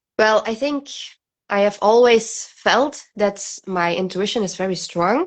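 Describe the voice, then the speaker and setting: At a fairly slow pace, a woman with a non-native accent speaks at a medium pitch with ordinary pitch variation. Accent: non-native English pronunciation. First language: not English. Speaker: guest friend. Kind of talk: casual chat. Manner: halting.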